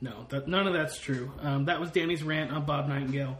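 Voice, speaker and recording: With noticeable background noise behind him, a man talks at a fairly high pitch and fairly even intonation. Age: 30s. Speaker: sports podcast co-host. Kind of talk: casual chat. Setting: home.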